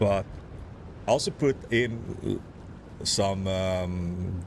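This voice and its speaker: A man with a southern Swedish accent speaks in a very deep, low pitch. His voice is somewhat breathy, with fairly even intonation. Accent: Swedish-accented English, Scanian. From southern Sweden (Skåne). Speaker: gaming livestreamer. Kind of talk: casual chat.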